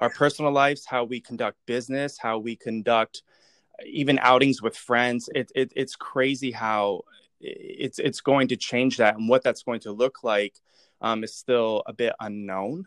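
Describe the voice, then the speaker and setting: An unremarkable speaking voice at a moderate pace with fairly even intonation, in a dry, close sound with no echo. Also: man, medium pitch for a man. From Pennsylvania, later North Carolina. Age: young. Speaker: artist and designer. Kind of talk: interview.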